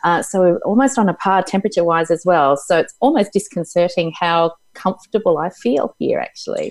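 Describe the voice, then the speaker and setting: A woman with an Australian accent talks at a fairly quick pace with hardly any pauses, on a very clean recording with a silent background. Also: medium pitch for a woman, ordinary pitch variation. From Tasmania, Australia. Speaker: psychologist and mentor. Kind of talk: casual interview chat.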